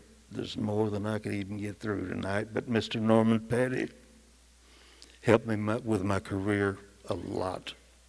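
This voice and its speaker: Speaking with a West Texas accent is a man. His pitch is fairly low. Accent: West Texas drawl. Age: 70s. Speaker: musician. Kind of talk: acceptance speech. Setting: stage with audience.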